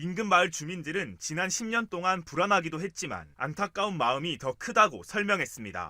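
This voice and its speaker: The man's voice is high-pitched with a bright, sharp tone and ordinary pitch variation, and he moves at a moderate pace with hardly any pauses. The recording is very clean against a silent background. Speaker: news reporter. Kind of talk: TV news report voice-over.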